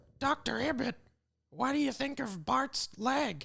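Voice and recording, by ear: A female-sounding voice uses a put-on character voice pitched high. The delivery moves at a fairly slow pace.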